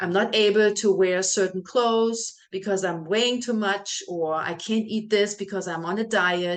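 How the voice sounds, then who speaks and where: A woman with a German accent, medium in pitch, fairly even in intonation, at a moderate pace with hardly any pauses. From Germany, small village. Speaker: health and fitness coach. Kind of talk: welcome video talk to clients.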